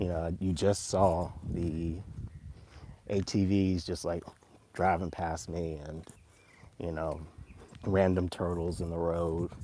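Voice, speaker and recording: The speaker has an American accent and a dark, mellow tone. Delivery is very slow, with monotone, flat intonation. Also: man, very deep, low pitch for a man. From US, Virginia and Florida. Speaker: vlogger. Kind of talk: casual live stream vlog. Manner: slow, with pauses.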